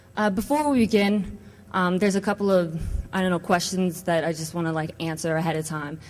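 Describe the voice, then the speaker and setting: A woman's fairly low-pitched voice in a New York accent, at a very fast pace. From New York City. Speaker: conference speaker, network administrator and adjunct professor. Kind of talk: conference talk. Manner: casual, filler-heavy.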